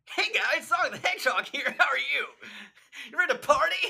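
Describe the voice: In a put-on character voice, the speaker goes very fast at an extremely high pitch with very wide pitch swings.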